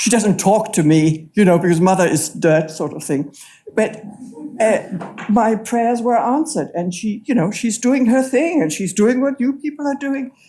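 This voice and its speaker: Over noticeable background noise, a woman speaks at a moderate pace with a fairly high pitch and very wide pitch swings. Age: 80s+. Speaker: audience member. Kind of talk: audience comment at a lecture.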